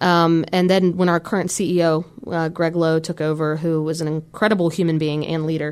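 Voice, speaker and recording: A woman with an American accent talks at a fairly quick pace in a fairly low pitch, her intonation monotone and flat. The recording is very clean, with a silent background. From Virginia. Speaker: company recruiter. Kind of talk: radio interview. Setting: radio studio.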